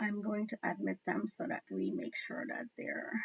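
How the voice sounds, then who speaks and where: There is vocal fry in this woman's fairly high voice. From Guyana. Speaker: online talk show host. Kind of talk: casual chat.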